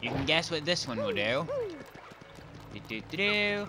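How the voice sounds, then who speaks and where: A man's voice with very wide pitch swings, amid noticeable background noise. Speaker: gaming youtuber. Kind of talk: let's play commentary. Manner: casual.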